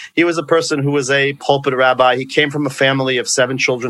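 At a fairly quick pace, the speaker uses a bright, sharp tone with an American accent. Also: man. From New York, Long Island. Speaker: rabbi and therapist. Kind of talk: interview.

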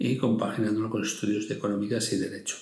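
Audible room echo surrounds a man as he talks. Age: 60s. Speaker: retired fund manager and investment blogger. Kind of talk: interview. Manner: animated.

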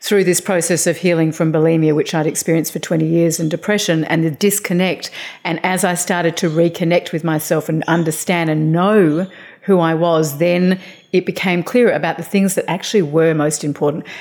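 Speaking fairly quickly in an Australian accent, a woman keeps a fairly low pitch and a flat, monotone intonation. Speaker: author and life coach. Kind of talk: interview.

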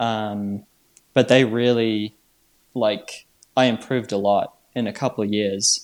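This man, with a New Zealand accent, talks at a very slow pace in a monotone, flat intonation. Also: medium pitch for a man. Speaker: trail runner. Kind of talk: interview.

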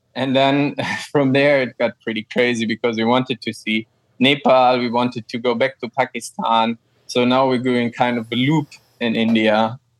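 A man with a German accent talks at a moderate pace and medium pitch, his intonation monotone and flat, in a dry, close sound with no echo. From Germany, Frankfurt. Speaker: ecologist and cycle tourer. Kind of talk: interview.

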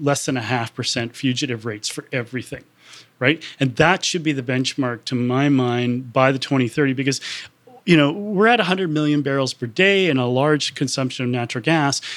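Fairly high-pitched man with a Canadian accent, ordinary pitch variation, and a very clean recording over a silent background. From Canada. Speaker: climate policy researcher. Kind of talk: interview. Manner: halting, many self-corrections.

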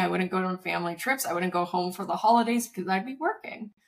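A woman speaks at a medium pitch with ordinary pitch variation in a plain, everyday voice. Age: 30s. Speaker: startup founder and content creator. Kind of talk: casual interview chat. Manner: casual, filler-heavy.

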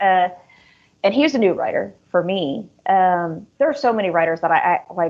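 Speaking with an American accent, a woman has a normal speaking voice, a medium pitch and a moderate pace. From US. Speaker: author. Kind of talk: casual interview chat.

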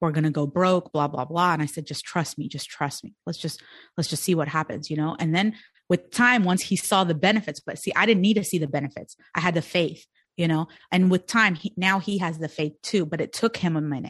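Over a quiet background, a woman talks at a fairly quick pace in an ordinary speaking voice, her fairly low pitch showing ordinary variation. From India and Sudan, immigrated to US as child. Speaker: entrepreneur and business coach. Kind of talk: podcast interview.

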